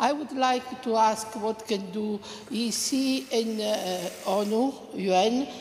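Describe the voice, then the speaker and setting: Speaking with an Italian accent at medium pitch and ordinary pitch variation, a woman is heard over noticeable background noise. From Italy. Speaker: audience member asking a question. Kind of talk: panel Q&A question.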